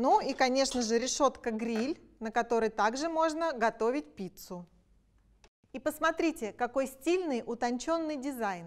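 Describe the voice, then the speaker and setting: The woman's voice is high. She talks fairly slowly. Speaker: product presenter. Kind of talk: sales pitch. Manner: enthusiastic. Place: kitchen. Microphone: lapel.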